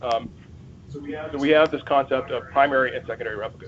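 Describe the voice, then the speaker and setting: A man's fairly high voice is heard with noticeable background noise. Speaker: Microsoft support engineer giving a user group talk. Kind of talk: technical presentation. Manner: fast; excited.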